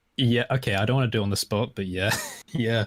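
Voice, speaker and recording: A man with an Estuary accent speaks at a fairly low pitch with ordinary pitch variation, recorded dry and close with no echo on a very clean recording with a silent background. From southern England, estuary English area. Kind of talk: casual chat.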